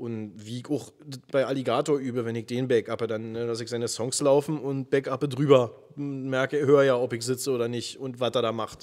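A man's fairly quick speech stays monotone and flat, set against noticeable background noise. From Brandenburg, Germany. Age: 30s. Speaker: rapper and nurse. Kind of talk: casual interview.

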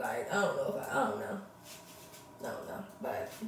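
Light background noise and audible room echo surround a woman as she talks. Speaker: vlogger. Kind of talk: casual vlog chat. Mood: frustrated, candid. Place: bathroom. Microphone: phone near.

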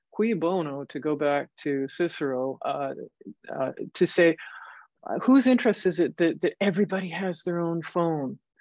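Her fairly low pitch and lively intonation carry a plain, everyday voice as the woman speaks at a moderate pace, with a dry sound with no echo and a quiet background. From Canada. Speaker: computer science professor. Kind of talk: lecture. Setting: video call. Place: office. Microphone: webcam.

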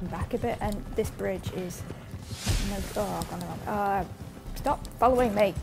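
Clear music plays in the background as a woman speaks at a moderate pace with long, frequent pauses. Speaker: gamer. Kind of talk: casual gameplay commentary. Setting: voice recorded separately, a bit quieter than normal.

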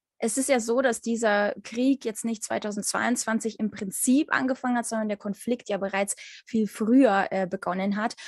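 Somewhat breathy and with fairly even intonation, the voice comes through as dry sound with no echo. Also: woman, fairly high pitch for a woman, moderate pace, quiet background. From Ukraine. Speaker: interviewer. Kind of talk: interview. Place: home room. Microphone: video call.

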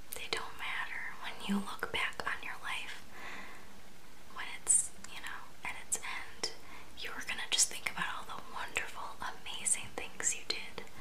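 Soft-spoken and whispering, the voice has a soothing tone and a fairly slow pace. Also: woman. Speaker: video creator. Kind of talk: intimate comforting address to viewer. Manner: soft close whisper, soothing. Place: home room. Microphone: phone near.

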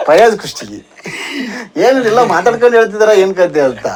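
A man is speaking. Noticeable background noise sits behind him. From North Karnataka. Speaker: YouTube channel host, interviewer. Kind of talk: interview.

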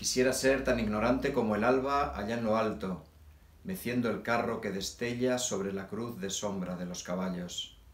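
Noticeable background noise sits behind a man speaking at a moderate pace, with medium pitch and ordinary pitch variation. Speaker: poet. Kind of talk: poetry reading.

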